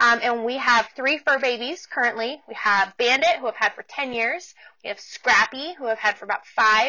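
The speaker talks at a moderate pace with a General American accent. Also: woman, high pitch for a woman, ordinary pitch variation. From US Pacific Northwest, Portland, Oregon. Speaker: podcast host, business coach. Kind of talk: casual solo monologue. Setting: home office.

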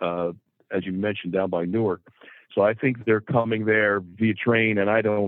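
A man's plain, everyday voice in an American accent, fairly low in pitch, at a moderate pace, with fairly even intonation. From New Jersey. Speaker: car dealership president. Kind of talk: casual interview.

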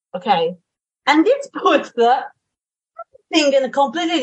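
Her pitch swings very widely as a woman speaks with an Italian accent. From Italy, Tuscany. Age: 30s. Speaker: wedding planner and translator. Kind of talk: panel discussion.

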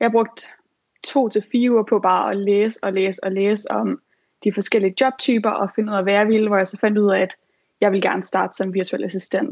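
A woman's normal speaking voice at medium pitch, moderate pace and fairly even intonation. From Denmark, Aarhus. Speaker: virtual assistant. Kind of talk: advice talk.

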